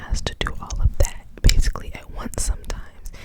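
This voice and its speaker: Noticeable background noise fills the space around a woman. She whispers at a moderate pace. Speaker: ASMR creator who works as restaurant wait staff. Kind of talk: asmr whisper ramble storytime. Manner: whispered, soft-spoken, rambling, casual.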